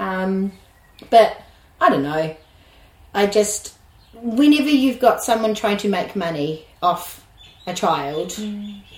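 A woman's medium-pitched voice in a New Zealand accent, with lively intonation at a very slow pace, long, frequent pauses, and noticeable background noise. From New Zealand, West Auckland. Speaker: early childhood educator. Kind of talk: interview conversation. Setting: at her rural home, sheep and birds audible.

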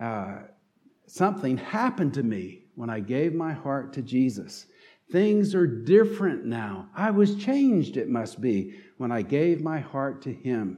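A man with a dark, mellow tone and a fairly high pitch speaks fairly slowly with very wide pitch swings, and audible room echo surrounds his voice. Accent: slight Southern. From North Carolina. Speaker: pastor. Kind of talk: sermon.

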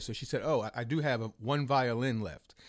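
On a very clean recording with a silent background, a man with an American accent and an ordinary speaking voice talks at a fairly quick pace, medium in pitch with ordinary variation. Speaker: musician and producer. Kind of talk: casual conversation. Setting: recording studio.

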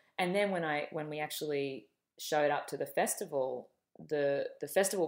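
Speaking fairly quickly with an Australian accent, a woman has a very deep, low pitch and ordinary pitch variation, in a very clean recording with a silent background. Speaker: film director. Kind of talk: interview.

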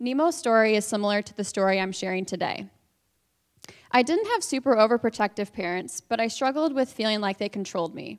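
An unremarkable speaking voice with an American accent moves at a fairly quick pace with lively intonation, the sound dry and close with no echo. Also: woman, fairly high pitch for a woman. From northwest Indiana. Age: 20s. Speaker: church member sharing story. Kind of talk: testimony. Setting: stage with audience.

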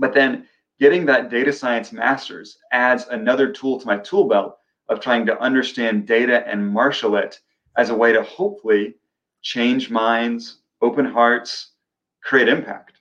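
Using an ordinary speaking voice, a man with an American accent talks at medium pitch and fairly slow pace, with ordinary pitch variation. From US Midwest (Olathe, Kansas). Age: young. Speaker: filmmaker and public historian. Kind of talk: interview.

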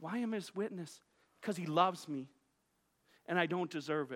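A raised, projected voice with a bright, sharp tone on a very clean recording with a silent background. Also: man. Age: 40s. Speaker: pastor. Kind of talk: sermon. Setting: church. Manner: halting, with frequent repetitions.

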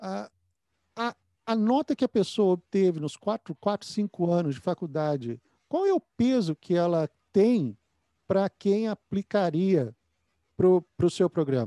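With a Brazilian accent, a man speaks fairly slowly in a high, dark, mellow voice with lively intonation and long, frequent pauses, the sound dry and close with no echo and the background quiet. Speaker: podcast host, dentist. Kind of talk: interview.

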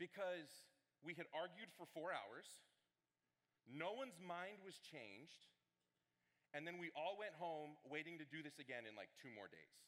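Vocal fry runs through this man's fairly high voice, and his tone is animated. He keeps a moderate pace but leaves long, frequent pauses. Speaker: student ministry director preaching. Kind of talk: sermon. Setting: church with congregation. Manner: loud.

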